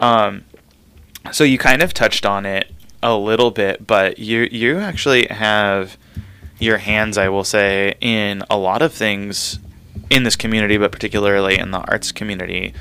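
A man with an American accent talks at a fairly slow pace, his bright, sharp tone held in fairly even intonation. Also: fairly low pitch for a man. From Southern California, San Fernando Valley. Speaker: radio show host. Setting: radio booth. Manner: chatty, rambling.

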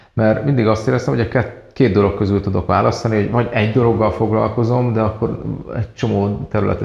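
Through noticeable background noise, a man with a fairly low pitch and ordinary pitch variation speaks at a very fast pace. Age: 40s. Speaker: productivity method trainer. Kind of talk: interview. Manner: halting.

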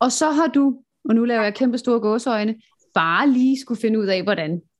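Animated in tone, a woman speaks at a moderate pace with a fairly high pitch and lively intonation. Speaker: podcast host. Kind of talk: interview. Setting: video call.

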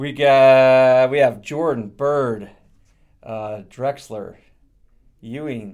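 A man with an American accent talks at a very slow pace in a medium pitch. Long, frequent pauses break up his speech, and his loudness swings widely. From Northwest Indiana. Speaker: event rental account executive. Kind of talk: casual interview chat.

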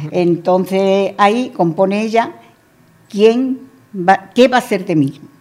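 A woman at medium pitch, with lively intonation and a very slow pace, over noticeable background noise. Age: 80s+. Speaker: radio co-presenter. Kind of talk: casual chat.

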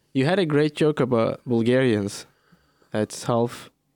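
Recorded very cleanly against a silent background with a dry, close sound and no echo, a man speaks at a medium pitch and a fairly slow pace, his pitch varying in an ordinary way. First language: non-English, not native. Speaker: podcast host and comedian. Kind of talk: casual chat.

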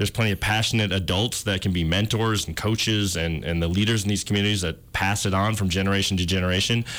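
In a very clean recording with a silent background, a man with a fairly low voice and an Upper Midwest accent speaks very fast with hardly any pauses, very even loudness and fairly even intonation. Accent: Upper Midwest (Minnesota). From Twin Cities, Minnesota. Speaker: film producer. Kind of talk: interview. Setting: studio.

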